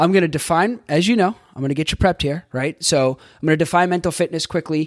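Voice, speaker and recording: A man with an American accent sounds enthusiastic and talks at a very fast pace. His pitch varies in an ordinary way. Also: dry, close sound with no echo. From Boston. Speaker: life coach and podcast host. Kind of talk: solo podcast monologue, coaching talk. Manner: fast talker; casual, enthusiastic, with filler words.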